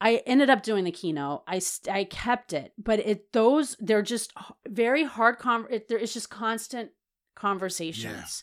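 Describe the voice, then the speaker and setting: On a very clean recording with a silent background, a woman with a normal speaking voice and an American accent speaks at a fairly slow pace, her fairly high pitch carrying lively intonation and big swings in loudness. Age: 40s. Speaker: registered dietitian and food equity advocate. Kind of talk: interview conversation.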